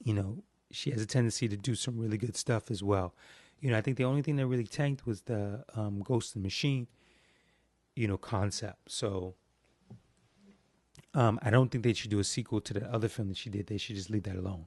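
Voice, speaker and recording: Over a quiet background, a man with a fairly low, somewhat breathy voice talks at a moderate pace, with ordinary pitch variation and long, frequent pauses. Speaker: podcast host. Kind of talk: casual monologue. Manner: hesitant, many fillers.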